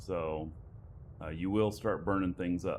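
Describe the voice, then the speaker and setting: Soft-spoken and very slow, a man talks at a very deep, low pitch with ordinary pitch variation. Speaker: livestreaming gamer. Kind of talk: live gameplay commentary. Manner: soft-spoken, keeping voice down.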